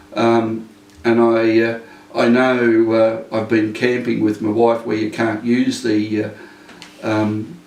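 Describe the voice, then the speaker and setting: Speaking very slowly in a medium pitch with an Australian accent, a man keeps a monotone, flat intonation and takes long, frequent pauses, with audible room echo and noticeable background noise. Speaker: retired police inspector. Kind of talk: interview. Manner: halting.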